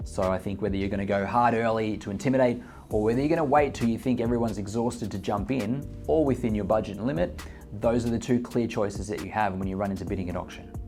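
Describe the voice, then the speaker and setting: A man races through his words at a very fast pace, ordinary pitch variation intact, while music plays in the background. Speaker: real estate agent and auctioneer. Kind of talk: casual talk to camera, explaining auction bidding tips.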